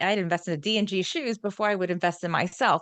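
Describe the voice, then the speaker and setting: Very fast speech with a New York accent. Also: woman. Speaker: holistic wellness coach. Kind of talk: interview conversation. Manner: drops final g sounds.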